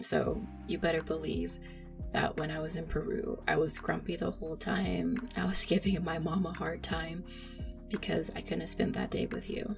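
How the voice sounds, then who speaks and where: A woman talks at a moderate pace. Music plays in the background. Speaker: voice actor in roleplay. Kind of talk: roleplay monologue to listener. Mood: apologetic, affectionate, laughing.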